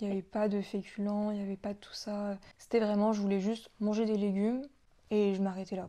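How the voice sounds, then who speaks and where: A woman's dark, mellow voice of medium pitch, monotone and flat, at a fairly quick pace. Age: 20s. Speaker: guest sharing recovery from anorexia. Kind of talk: testimony.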